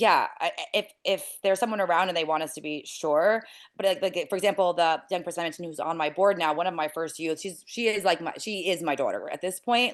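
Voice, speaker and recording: Over a quiet background, a woman speaks very fast in a fairly low voice. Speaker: nonprofit founder. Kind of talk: interview.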